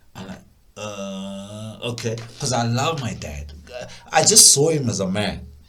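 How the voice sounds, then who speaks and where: This man talks at a fairly slow pace with lively intonation and long, frequent pauses. Noticeable background noise and audible room echo surround him. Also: big swings in loudness. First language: not English. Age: adult. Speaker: music producer. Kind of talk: personal storytelling. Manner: halting, repetitive stammers; casual, animated.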